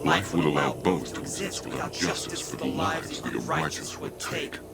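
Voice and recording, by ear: A man performs a put-on character voice at an extremely low pitch, with vocal fry and very wide pitch swings. He keeps a moderate pace over clear background noise.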